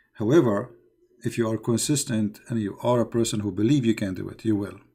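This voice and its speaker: Speaking with a non-native accent, a man with a dark, mellow tone at medium pitch keeps a moderate pace and fairly even intonation. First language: not English. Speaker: religious live-stream host. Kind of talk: live call-in show. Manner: halting.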